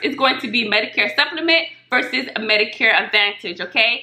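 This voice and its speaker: A woman speaks loudly at a moderate pace with lively intonation. Noticeable background noise surrounds her. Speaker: Medicare insurance broker. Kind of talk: casual tutorial vlog.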